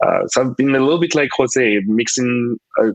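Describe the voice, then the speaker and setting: A man talks fairly quickly at a medium pitch. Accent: French. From French West Indies, Guadeloupe. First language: French. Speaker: UX designer and researcher. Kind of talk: panel discussion. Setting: online conference.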